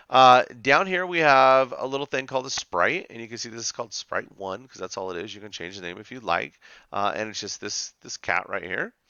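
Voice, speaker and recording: An animated man at medium pitch, with very wide pitch swings, big swings in loudness and hardly any pauses. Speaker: teacher. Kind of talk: tutorial. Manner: fast.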